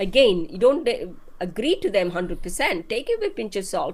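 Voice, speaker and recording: Her intonation moves in a lively way. The woman's pace is fairly slow. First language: not English. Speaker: marketing expert guest. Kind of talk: live-stream interview.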